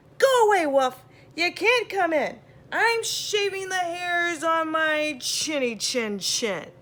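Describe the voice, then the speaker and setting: Shouting in a put-on character voice, a woman speaks fairly slowly at an extremely high pitch. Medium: read story. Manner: yelling, rude.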